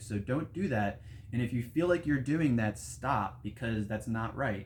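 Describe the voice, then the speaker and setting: Somewhat breathy, a man talks at a fairly quick pace in a medium pitch with ordinary pitch variation. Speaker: meditation and breathwork teacher. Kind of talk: tutorial. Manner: casual.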